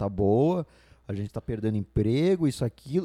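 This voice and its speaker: Here a man talks at a moderate pace with a fairly low pitch. His tone is dark and mellow. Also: dry, close sound with no echo. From Brazil, Santa Catarina. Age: 20s. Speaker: podcast co-host. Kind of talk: casual chat. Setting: studio. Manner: halting.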